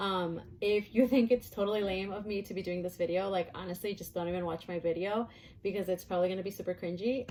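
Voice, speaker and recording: A woman speaks quite quickly at a medium pitch, her pitch varying in an ordinary way. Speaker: book vlogger. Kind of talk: casual vlog talk. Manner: fast; animated.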